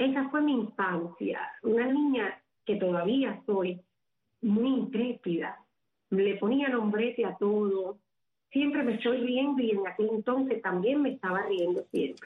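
An ordinary speaking voice, a woman's at a fairly high pitch, moves at a fairly slow pace with ordinary pitch variation. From Cuba, Havana. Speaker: psychic medium, social media personality. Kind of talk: radio interview.

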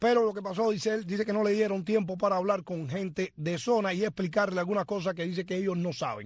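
Talking very fast, a man has a high pitch. His intonation stays fairly even. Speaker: radio host. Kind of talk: casual talk show.

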